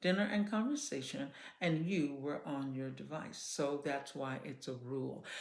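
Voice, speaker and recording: The voice has a calm tone and very wide pitch swings, with audible room echo around it. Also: woman. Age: 60s. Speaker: children's entertainer and parenting talk host. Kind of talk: casual advice monologue. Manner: calm conversational tone.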